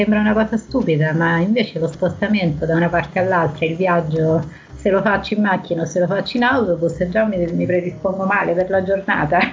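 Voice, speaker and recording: Over noticeable background noise, a woman talks at a fairly quick pace with very even loudness. Her medium-pitched voice keeps a fairly even intonation. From Lazio, province of Viterbo. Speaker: psychologist. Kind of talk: casual interview chat. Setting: remote call from a country house.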